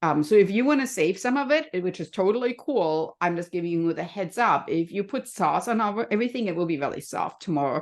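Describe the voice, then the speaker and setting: Against a quiet background, a woman with a slight German accent talks at a fairly quick pace and medium pitch, her voice swinging very widely and hardly pausing. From Germany. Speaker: health and happiness coach. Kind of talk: podcast interview.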